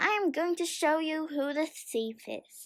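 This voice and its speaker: A woman puts on a character voice, pitched extremely high and delivered fairly slowly. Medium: read story. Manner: stern.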